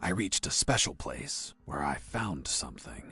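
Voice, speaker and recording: Putting on a character voice, a man talks at a moderate pace in a very deep, low pitch that swings very widely. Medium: video game. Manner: deadpan, sardonic.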